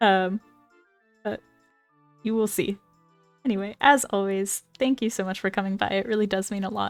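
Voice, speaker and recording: Over music in the background, a woman with a medium-pitched voice talks at a moderate pace with fairly even intonation and long, frequent pauses, in a dry, close sound with no echo. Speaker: gaming commentator. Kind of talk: casual talk to camera. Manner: stutters at times.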